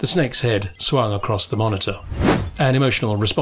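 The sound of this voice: Text read in an unforced reading voice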